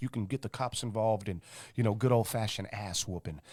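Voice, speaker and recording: A man talks at a very fast pace in an animated tone. His medium-pitched voice has ordinary pitch variation. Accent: Midwestern American. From St. Louis, Missouri (South City). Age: 30s. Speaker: hip-hop artist. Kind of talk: casual interview chat.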